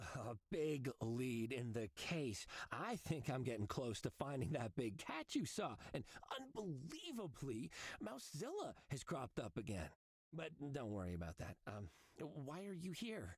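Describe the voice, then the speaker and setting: The speaker puts on a character voice at a low-to-middle pitch. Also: moderate pace. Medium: game stream. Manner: stammering, excitable.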